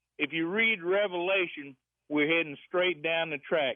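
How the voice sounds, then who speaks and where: Fairly high in pitch, a man speaks slowly-ish in an ordinary speaking voice with ordinary pitch variation at a fairly slow pace. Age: 60s. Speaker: radio caller. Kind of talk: call-in radio comment.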